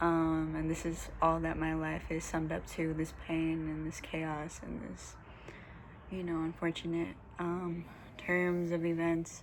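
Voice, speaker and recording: A woman speaks at a fairly slow pace, with audible room echo around her voice. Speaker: holistic lifestyle vlogger. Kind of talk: casual vlog monologue. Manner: hesitant, many fillers.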